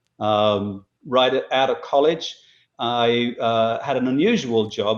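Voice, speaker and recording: Speaking with a British accent, a man keeps to a medium pitch. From England (Boston, Lincolnshire). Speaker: marketing company CEO. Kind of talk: interview.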